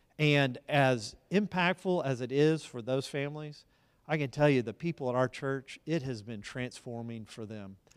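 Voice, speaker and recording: Medium pitch and a normal speaking voice from a man with an American accent, moderate pace, ordinary pitch variation and big swings in loudness, on a very clean recording with a silent background. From Texas (Dallas, Tyler). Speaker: school board president and pastor. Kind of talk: interview in a church service.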